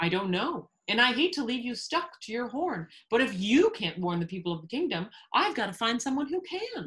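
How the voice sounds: Using a put-on character voice, a woman speaks at a moderate pace with fairly high pitch, big pitch swings, a fairly bright tone and a slightly husky edge.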